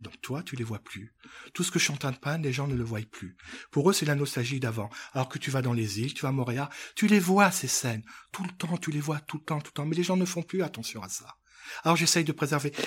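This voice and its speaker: The speaker sounds somewhat breathy, moving at a fairly quick pace with lively intonation. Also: man, fairly high pitch for a man. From Africa. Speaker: painter. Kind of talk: interview.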